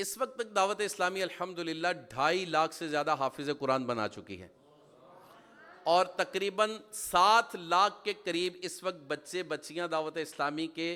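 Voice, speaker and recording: A man speaks in an animated, bright and sharp tone with lively intonation and big swings in loudness. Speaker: Islamic preacher. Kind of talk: sermon.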